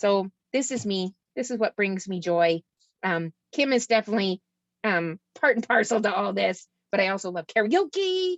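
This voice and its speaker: In a Canadian accent, this plain, everyday voice moves at a moderate pace with ordinary pitch variation. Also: woman, medium pitch for a woman. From Ontario, Canada. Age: 50s. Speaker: youth mental health worker. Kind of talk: presentation.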